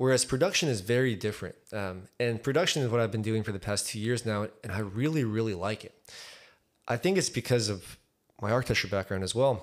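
A man speaks in a normal speaking voice at a fairly quick pace. His pitch is medium with ordinary variation, and the recording is very clean with a silent background. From Texas, raised in Highland Park from age four. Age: 20s. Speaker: architect and musician. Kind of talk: casual chat.

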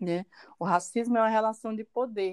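A woman's medium-pitched voice with a dark, mellow tone, ordinary pitch variation and a moderate pace, in a dry, close sound with no echo. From Brazil, Porto Nacional, Tocantins. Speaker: university professor. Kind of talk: podcast interview.

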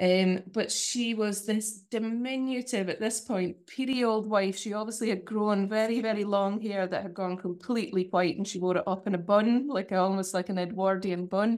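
With a Shetland accent, a woman speaks at medium pitch and a moderate pace, with fairly even intonation and hardly any pauses. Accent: Shetland Scottish. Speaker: fiddle player and music lecturer. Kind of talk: casual interview. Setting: video call.

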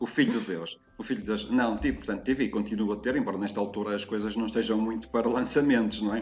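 Over music in the background, a man talks at a very fast pace with hardly any pauses, his medium-pitched voice keeping a fairly even intonation. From northern Portugal, Porto. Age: 50s. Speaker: writer and teacher on language expressions. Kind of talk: casual interview chat.

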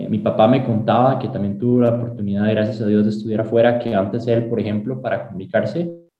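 A man of medium pitch with a Costa Rican accent and fairly even intonation. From Costa Rica, San José (Sabanilla, Montes de Oca). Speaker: aerospace engineering student. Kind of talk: interview. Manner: halting, with repetitions.

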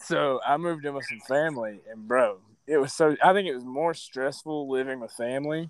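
Using a plain, everyday voice, a man with a fairly high pitch talks at a fairly quick pace with ordinary pitch variation. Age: 20s. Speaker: mixed martial arts fighter. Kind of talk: casual chat.

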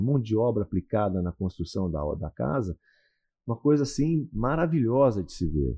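At a moderate pace, a man speaks with a somewhat breathy voice and very wide pitch swings. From Paraná interior, Brazil. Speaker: radio announcer and real estate broker. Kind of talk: casual interview.

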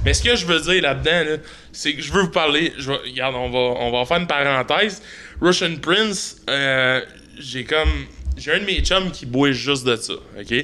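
A man with a plain, everyday voice, fairly high-pitched, at a moderate pace with ordinary pitch variation. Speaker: podcast host. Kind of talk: casual chat.

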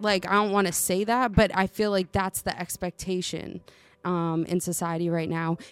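The pace is moderate in an unremarkable speaking voice. Intonation stays fairly even. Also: woman, medium pitch for a woman. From US, Italian and Puerto Rican family. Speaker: podcast co-host guest, artist. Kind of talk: casual chat.

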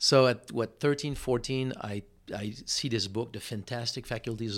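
A man with a French Canadian accent, fairly even in intonation, on a very clean recording with a silent background. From Quebec, Montreal. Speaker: stem cell supplement entrepreneur. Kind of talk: interview conversation. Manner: halting, frequent word repetitions.

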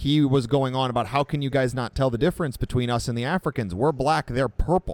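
In a plain, everyday voice, the speaker goes at a fairly quick pace, recorded with a dry, close sound and no echo. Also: man, medium pitch for a man, ordinary pitch variation, hardly any pauses. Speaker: podcast co-host. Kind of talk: casual chat.

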